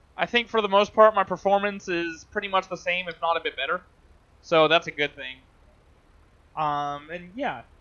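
Bright, sharp tone at a moderate pace, with long, frequent pauses, big swings in loudness and ordinary pitch variation. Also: man, high pitch for a man. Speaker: gaming YouTuber. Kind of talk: gameplay commentary. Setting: home recording with game. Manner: casual, rambling.

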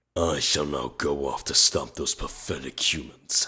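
A man puts on a raspy character voice with a very deep, low pitch. He speaks at a moderate pace. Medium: dub.

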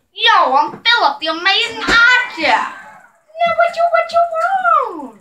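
Putting on a character voice, a woman speaks at an extremely high pitch with lively intonation and a fairly slow pace against clear background noise. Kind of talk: casual slang. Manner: cocky, brash.

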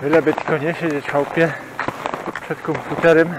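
A man at a moderate pace, dry with no echo, against noticeable background noise. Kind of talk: casual vlog chat. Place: forest. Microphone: phone near.

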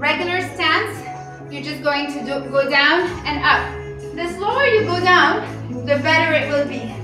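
A woman speaks at a very slow pace with audible room echo and faint music in the background. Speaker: fitness instructor. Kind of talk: workout instruction. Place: home room.

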